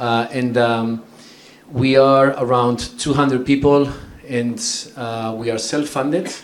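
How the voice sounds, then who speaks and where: A man with a strong Spanish accent, medium in pitch, monotone and flat, at a fairly slow pace, with audible room echo and noticeable background noise. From northern Spain, San Sebastian. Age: 40s. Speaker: tech company executive. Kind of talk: conference talk. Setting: stage with audience.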